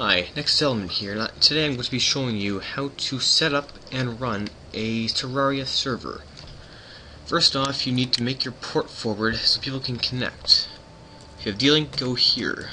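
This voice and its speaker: Through noticeable background noise, a man talks at a moderate pace in a medium pitch with ordinary pitch variation. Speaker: gaming tutorial youtuber. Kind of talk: tutorial.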